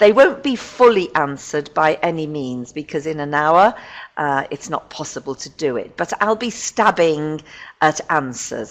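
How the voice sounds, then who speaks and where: With a very deep, low pitch, a woman talks at a fairly slow pace, using lively intonation and big swings in loudness. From northern England, Liverpool. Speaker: teacher trainer. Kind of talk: webinar presentation. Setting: online webinar.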